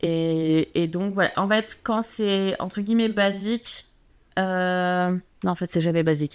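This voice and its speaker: Very slow, fairly even speech in a very clean recording with a silent background. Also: woman, medium pitch for a woman. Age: 30s. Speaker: personal stylist. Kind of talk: casual chat.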